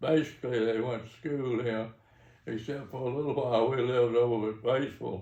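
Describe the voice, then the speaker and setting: Audible room echo around a man's dark, mellow, medium-pitched voice with a Mississippi accent at a moderate pace. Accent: Mississippi Southern. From US South. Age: 80s+. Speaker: retired engineer and businessman. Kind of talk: interview. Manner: halting.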